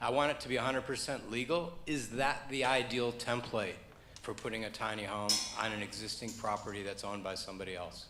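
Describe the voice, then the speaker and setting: Very fast speech from a man, audible echo from the room, noticeable noise behind him. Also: medium pitch for a man, ordinary pitch variation. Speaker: audience member asking a question. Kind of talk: audience question.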